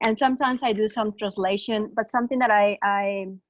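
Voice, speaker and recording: Against a quiet background, a woman speaks in a Spanish accent. Her medium-pitched voice keeps fairly even intonation. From Mexico. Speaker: webinar participant asking a question. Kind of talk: Q&A question. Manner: halting, many fillers.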